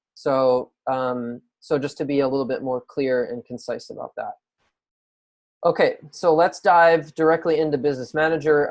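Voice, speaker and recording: An ordinary speaking voice from a man, fairly high in pitch, at a moderate pace with fairly even intonation. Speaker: online marketing coach. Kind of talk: screen-share tutorial. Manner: casual with many filler words.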